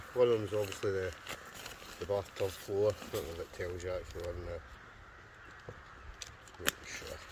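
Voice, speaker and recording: A man speaking with long, frequent pauses amid noticeable background noise. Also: moderate pace. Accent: Scottish. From Scotland. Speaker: wild camper, outdoor gear reviewer. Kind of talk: casual gear review talk to camera. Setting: outdoors.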